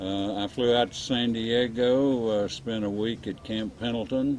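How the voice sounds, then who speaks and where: A man's fairly slow speech in a Texan accent, with ordinary pitch variation. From Texas. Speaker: real estate developer, war veteran. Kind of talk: oral history interview. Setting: winery cafe. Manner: halting, many fillers.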